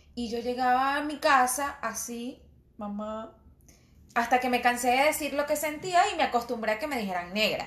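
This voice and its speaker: A woman speaks in a high pitch with ordinary pitch variation. Her pace is moderate. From Venezuelan Andes, Mérida state. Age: 30s. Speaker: podcast co-host. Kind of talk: casual chat.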